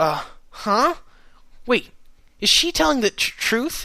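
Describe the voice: A man's put-on character voice in an extremely high pitch, bright and sharp in tone, with big pitch swings, vocal fry and a slow pace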